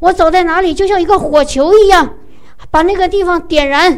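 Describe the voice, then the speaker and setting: Her pitch is extremely high for a woman, with fairly even intonation. Noticeable background noise can be heard. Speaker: preacher leading prayer. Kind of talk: fervent charismatic prayer, worship. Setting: church gathering. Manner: emotional, pleading, rising in volume.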